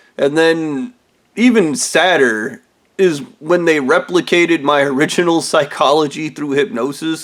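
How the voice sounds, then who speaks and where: This man has a plain, everyday voice, pitched fairly high with ordinary pitch variation. His delivery comes at a moderate speed. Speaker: video blogger. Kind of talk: casual monologue rant.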